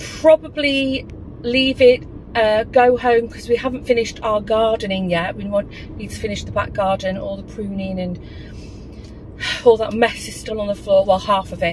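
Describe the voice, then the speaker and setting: A woman speaks at a moderate pace with ordinary pitch variation and big swings in loudness. The sound is dry with no echo, and there is light background noise. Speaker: vlogger. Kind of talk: casual vlog chat. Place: car. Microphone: phone near.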